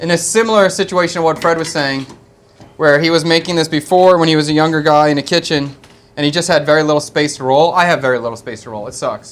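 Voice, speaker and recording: Speaking with a Philadelphia accent, a man talks at a very fast pace. His pitch is fairly high, with ordinary variation. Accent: East Coast (Philadelphia). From US East Coast, Philadelphia. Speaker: chef and live-stream cooking host. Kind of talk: live cooking stream, casual chat. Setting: studio kitchen.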